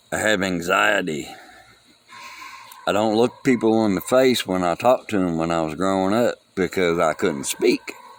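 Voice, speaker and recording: There is noticeable background noise as a man talks at a moderate pace in a very deep, low pitch. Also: ordinary pitch variation. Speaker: vlogger mourning a friend. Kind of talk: casual monologue. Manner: halting, loses track.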